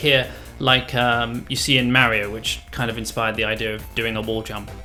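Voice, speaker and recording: The voice moves at a moderate pace. Music plays in the background. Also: man. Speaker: indie game developer. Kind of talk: casual devlog narration over gameplay.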